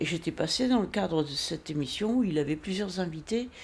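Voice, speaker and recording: A woman's voice with lively intonation. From northern France. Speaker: singer-songwriter. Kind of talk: casual interview. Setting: at home.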